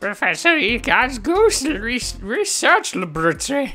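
A put-on character voice, fairly high in pitch, with very wide pitch swings and a fairly slow pace. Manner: pompous, theatrical.

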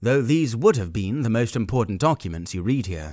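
On a very clean recording with a silent background, a man with an English accent talks with very wide pitch swings. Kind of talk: audiobook-style fiction narration read aloud.

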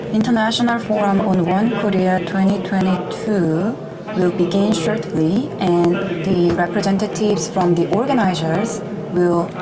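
Through loud background noise, a woman speaks at a fairly slow pace. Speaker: event announcer. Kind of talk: formal announcement. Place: hall.

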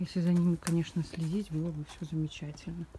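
Somewhat breathy and fairly low in pitch, a woman talks at a fairly quick pace. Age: 20s. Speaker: vlogger. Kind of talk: walking vlog tour. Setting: outdoors.

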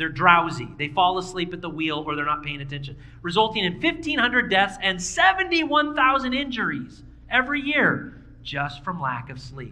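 In a room with audible echo, a man with a high pitch and a bright, sharp tone talks at a moderate pace with few pauses and lively intonation.

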